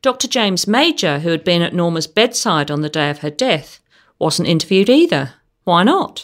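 Lively intonation colors an ordinary speaking voice delivered at a moderate pace. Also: woman, fairly low pitch for a woman. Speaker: podcast host. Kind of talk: true-crime narration. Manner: measured, clear, formal storytelling delivery.

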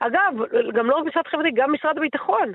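A woman talks with ordinary pitch variation. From Israel, Netanya. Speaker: politician. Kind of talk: interview.

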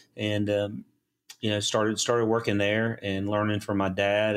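A man with a Southern US accent speaks at a fairly quick pace and a fairly low pitch with monotone, flat intonation, in a very clean recording with a silent background. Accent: Southern US (Georgia). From US South, South Georgia. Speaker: engineering firm CEO. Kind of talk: interview.

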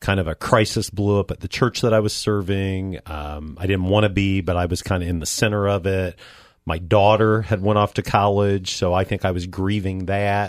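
At a moderate pace and with fairly even intonation, an unremarkable speaking voice comes through on a very clean recording with a silent background. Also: man, fairly low pitch for a man. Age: 50s. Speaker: radio show co-host. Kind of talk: casual chat. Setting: studio.

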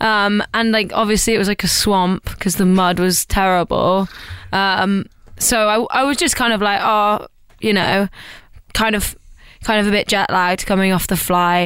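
A woman speaks at medium pitch and a moderate pace. Her loudness stays very even and her intonation fairly even. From East Midlands, England (rural Lincolnshire near Nottingham). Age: 20s. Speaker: pop musician. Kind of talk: casual interview chat.

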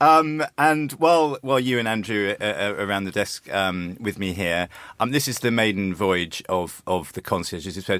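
In a British accent, a man with a fairly low pitch talks at a moderate pace with lively intonation, recorded very cleanly against a silent background. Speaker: radio host. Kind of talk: radio presenter patter, polished and upbeat. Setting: studio. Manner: smooth, cheerful, conversational.

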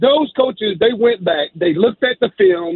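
Speaking at a moderate pace with an American accent, a man uses lively intonation at a high pitch. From South Carolina. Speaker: caller. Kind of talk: sports talk radio call. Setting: phone call.

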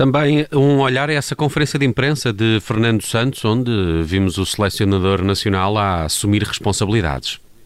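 A man with a plain, everyday voice speaks at medium pitch and a moderate pace, with lively intonation and very even loudness. The recording is very clean, with a silent background. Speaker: radio news host. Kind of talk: radio presenting.

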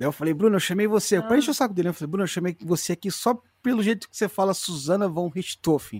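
In a very clean recording with a silent background and a dry, close sound with no echo, a man talks very fast at a high pitch with lively intonation. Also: hardly any pauses, big swings in loudness. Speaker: true crime podcaster. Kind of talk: casual chat.

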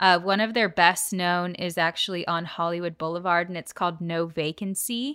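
An ordinary speaking voice, a woman at fairly low pitch speaks at a moderate pace with fairly even intonation and hardly any pauses, on a very clean recording with a silent background. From Southern California, Orange County. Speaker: podcast co-host. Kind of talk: casual chat.

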